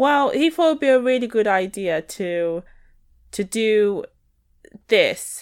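A woman with a Northern English accent, fairly high-pitched, at a fairly slow pace, with very wide pitch swings and long, frequent pauses. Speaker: podcast co-host. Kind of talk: casual chat. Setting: video call.

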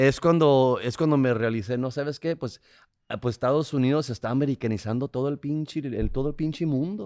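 Here a man speaks fairly quickly at medium pitch, with ordinary pitch variation. His tone is dark and mellow, and the background is quiet. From Tijuana, Mexico (border). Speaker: comedian and podcast co-host. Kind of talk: casual chat.

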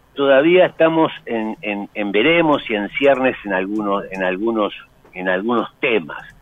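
Speaking at a fairly slow pace, a man uses lively intonation in an ordinary speaking voice. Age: 60s. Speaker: history professor and university administrator. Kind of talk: interview, lecture-like explanation.

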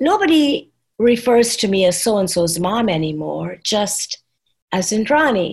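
At a fairly slow pace, a woman speaks in a somewhat breathy voice with a medium pitch and lively intonation. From Trinidad. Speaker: nonprofit founder. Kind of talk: casual discussion.

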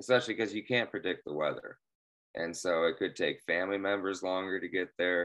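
A man with a Midwestern US accent talks fairly quickly in a very deep, low voice with ordinary pitch variation. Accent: US Midwest. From Central Illinois. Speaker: guest fast food fan. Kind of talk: casual chat.

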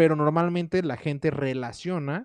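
Against a quiet background, a man with a plain, everyday voice talks at a moderate pace with ordinary pitch variation and a dry, close sound with no echo. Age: 20s. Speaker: musician and music teacher. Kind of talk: casual chat.

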